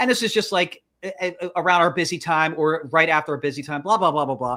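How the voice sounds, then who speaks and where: A loud man with a high pitch and a bright, sharp tone speaks at a very fast pace on a very clean recording with a silent background. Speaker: podcast co-host. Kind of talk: casual chat. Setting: livestream. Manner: loud, hyper; halting, many restarts.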